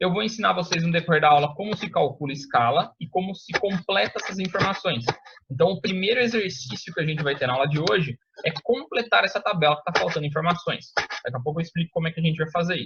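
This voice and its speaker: Talking very fast, a man uses a high pitch and lively intonation. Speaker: teacher. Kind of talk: lecture. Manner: casual, informal.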